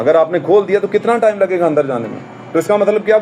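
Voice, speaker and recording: A man speaks in a high voice with ordinary pitch movement over noticeable background noise. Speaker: church pastor delivering a sermon. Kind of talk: sermon to a congregation.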